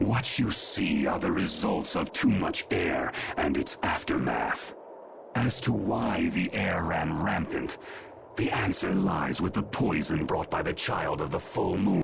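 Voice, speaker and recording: Clear background noise sits behind a put-on character voice with a menacing tone. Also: man, fairly slow pace. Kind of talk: archaic, lofty speech. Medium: video game. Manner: imperious, menacing.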